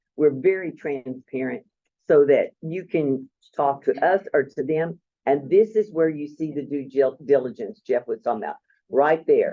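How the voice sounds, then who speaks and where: A man with a fairly high pitch uses a normal speaking voice, ordinary pitch variation and a moderate pace. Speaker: procurement co-op presenter. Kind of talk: presentation.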